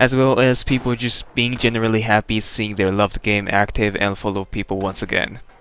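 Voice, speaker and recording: A man with a Japanese accent speaks at a moderate pace. His voice is fairly low, with fairly even intonation. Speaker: gaming YouTuber. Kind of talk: video game review voiceover. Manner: casual.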